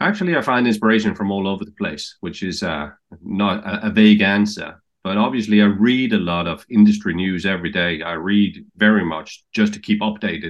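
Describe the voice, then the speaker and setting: A man with a Danish accent, fairly low pitch and fairly even intonation, against a quiet background. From Denmark. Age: 50s. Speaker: TV executive. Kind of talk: interview answers. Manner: halting.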